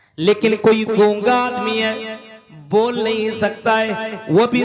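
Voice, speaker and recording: A man's high voice in monotone, flat intonation. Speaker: Islamic scholar giving a lecture. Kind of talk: religious sermon / public lecture. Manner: earnest, persuasive, preaching.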